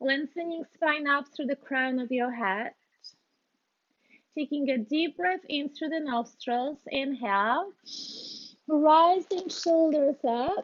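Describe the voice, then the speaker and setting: With a Polish accent, a woman talks in a high voice at a very slow pace, leaving long, frequent pauses. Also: ordinary pitch variation. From Poland. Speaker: yoga instructor. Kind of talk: guided yoga class. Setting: video call. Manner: halting, many fillers.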